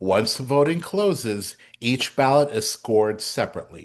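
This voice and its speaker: A man with an ordinary speaking voice talks at a moderate pace with ordinary pitch variation over a quiet background. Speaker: president of theatre awards council. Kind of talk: town hall presentation. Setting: meeting room with audience.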